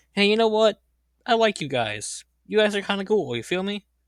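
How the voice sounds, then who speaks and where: A man's put-on character voice, high-pitched and at a fairly quick pace. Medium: solo performance.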